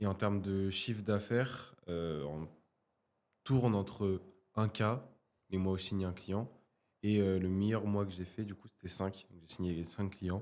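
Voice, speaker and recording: Fairly low in pitch, a man talks at a fairly slow pace with long, frequent pauses. His intonation is fairly even, while his loudness swings widely. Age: 20s. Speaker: photographer and coach. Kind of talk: casual interview.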